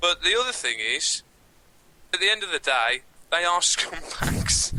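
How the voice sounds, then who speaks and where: A man with a strong Birmingham accent talks at a fairly slow pace. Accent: heavy Birmingham. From Birmingham, England. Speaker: comedy podcast co-host. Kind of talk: casual chat.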